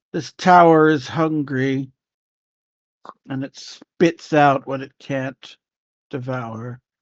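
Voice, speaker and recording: In a put-on character voice pitched low-to-middle, someone mumbles at a very slow pace, with long, frequent pauses. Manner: ominous; mumbling.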